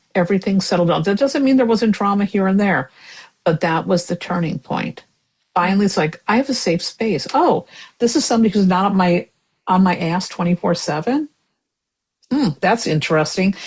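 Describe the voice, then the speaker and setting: In a somewhat breathy, mid-pitched voice, a woman speaks at a moderate pace with lively intonation. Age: 60s. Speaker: tarot reader and writer. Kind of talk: casual chat.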